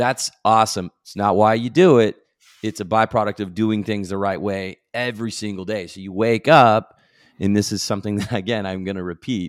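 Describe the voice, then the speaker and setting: A man with a fairly low pitch speaks at a moderate pace with fairly even intonation and big swings in loudness, in an unremarkable speaking voice. The recording is very clean, with a silent background and a dry, close sound with no echo. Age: 40s. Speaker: medical device sales executive. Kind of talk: interview.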